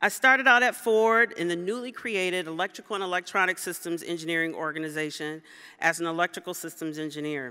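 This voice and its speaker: Against a quiet background, a woman with an American accent has a bright, sharp tone and ordinary pitch variation. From Detroit, Michigan. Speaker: automotive engineer, award recipient. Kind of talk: award acceptance speech. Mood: personal, reflective storytelling. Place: hall. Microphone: podium.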